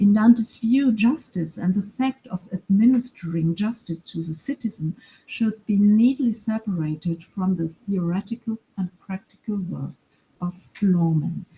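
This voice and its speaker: In a German accent, a woman speaks at a fairly slow pace with a medium pitch and ordinary pitch variation. Her dark, mellow tone is somewhat breathy, recorded with a dry, close sound with no echo. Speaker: professor. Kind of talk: lecture.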